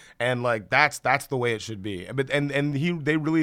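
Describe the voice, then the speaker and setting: A man speaks at a fairly quick pace in an American accent, with an unremarkable speaking voice and ordinary pitch variation. The recording is very clean, with a silent background. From US South, Columbus, Georgia. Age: 30s. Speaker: film industry figure. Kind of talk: casual chat.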